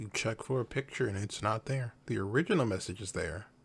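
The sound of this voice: At a fairly quick pace, a man speaks with a fairly low pitch, ordinary pitch variation, vocal fry and a slightly husky edge.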